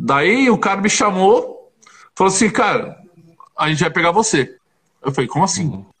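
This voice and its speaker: A high-pitched man with long, frequent pauses. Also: ordinary pitch variation, moderate pace. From Paraná and interior São Paulo, Brazil. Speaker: former professional basketball player. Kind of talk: casual interview.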